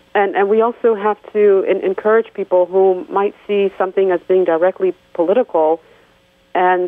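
An unremarkable speaking voice, a woman with an American accent talks at a moderate pace and medium pitch with fairly even intonation. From DR Congo, raised in the US from primary school. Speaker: women's rights advocate. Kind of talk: radio interview. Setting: phone call.

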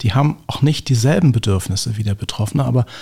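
Somewhat breathy male speech with lively intonation at a fairly quick pace. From Berlin (Lichterfelde/Lankwitz). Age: 50s. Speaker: gerontologist. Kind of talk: interview.

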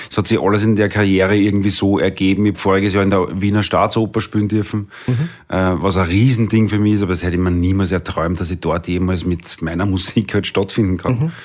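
Talking at a very fast pace with hardly any pauses, a man with a Viennese accent keeps a fairly low pitch and fairly even intonation. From Vienna, Austria. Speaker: singer. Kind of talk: interview.

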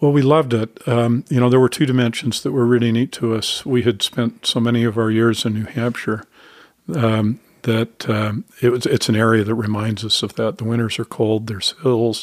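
Dry and close with no echo, the recording captures a man with an American accent. His pitch is medium, his intonation fairly even and his pace moderate. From Utah, Salt Lake City. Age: 60s. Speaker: author and church leader. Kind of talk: interview. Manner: hesitant, many fillers.

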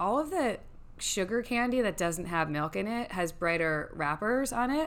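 Her loudness very even, a woman with an American accent moves her pitch through very wide swings. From New York. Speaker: guest sharing parenting experience. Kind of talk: casual chat.

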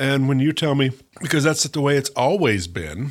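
Recorded very cleanly over a silent background, a man with an American accent speaks at a moderate pace. He has an unremarkable speaking voice at a medium pitch. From US South, Mississippi Gulf Coast. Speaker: history professor. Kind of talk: interview.

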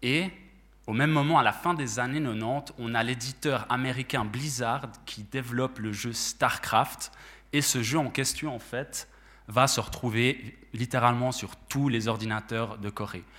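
In a normal speaking voice, a man talks at a medium pitch with fairly even intonation. He goes at a fairly slow pace, and the recording is very clean with a silent background. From Switzerland, La Chaux-de-Fonds. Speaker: esports manager at sports organisation. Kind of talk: panel talk.

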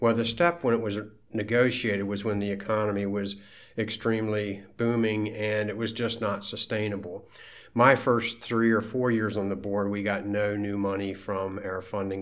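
With an American accent, a man speaks in a plain, everyday voice, fairly low in pitch, with fairly even intonation. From Maryland, US (Frederick). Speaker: school board president. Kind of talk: interview.

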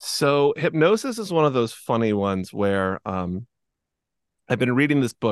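A man talks at a fairly quick pace in an ordinary speaking voice, with lively intonation. The sound is dry and close with no echo, over a quiet background. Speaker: hypnotist and podcast host. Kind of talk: casual interview conversation. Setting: video call.

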